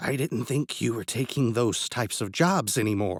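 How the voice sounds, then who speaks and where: At a moderate pace and a medium pitch, a man performs a put-on character voice. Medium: read story. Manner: sly, condescending.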